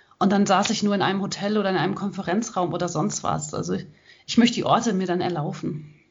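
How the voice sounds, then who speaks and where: Talking at a very fast pace, a woman uses a medium pitch with vocal fry. Her intonation stays fairly even, and audible room echo surrounds her. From western Germany (Hagen, Ruhr area). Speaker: ultrarunner and author. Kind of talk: interview. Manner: hesitant fillers (ähm).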